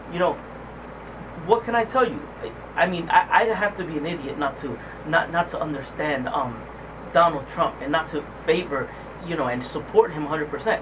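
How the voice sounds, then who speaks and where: Over noticeable background noise, a man with a high pitch speaks at a fairly quick pace with lively intonation, broken by long, frequent pauses. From New Jersey, Puerto Rican. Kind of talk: street interview. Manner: halting.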